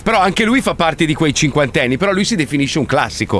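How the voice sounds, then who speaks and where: Noticeable background noise surrounds a man with a fairly high pitch. His tone is animated and his intonation lively. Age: 50s. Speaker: radio host. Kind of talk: casual chat.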